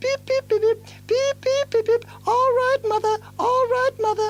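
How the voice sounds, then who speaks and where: A man puts on a squeaky character voice with extremely high pitch, speaking at a moderate pace over music in the background. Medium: read story. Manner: chirpy, obedient.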